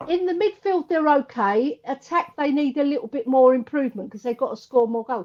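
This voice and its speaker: With an English accent, a woman talks at a moderate pace in a high pitch, her voice swinging very widely up and down. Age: 60s. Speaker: former women's footballer and coach. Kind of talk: casual chat.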